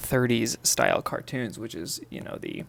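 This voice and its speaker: A man talks in a soft-spoken way. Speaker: artist. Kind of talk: tutorial. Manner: halting.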